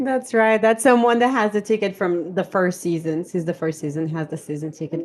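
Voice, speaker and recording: A woman with a Brazilian accent speaks at a fairly low pitch with ordinary pitch variation. The recording is very clean, with a silent background. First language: Portuguese. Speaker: podcast co-host. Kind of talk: casual chat.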